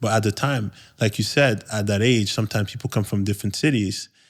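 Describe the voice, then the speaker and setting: At a fairly quick pace, a man with a fairly low pitch speaks in a very clean recording with a silent background. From Quebec, Montreal. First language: French. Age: 30s. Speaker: podcast host. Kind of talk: podcast conversation, personal story. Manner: halting, many repetitions.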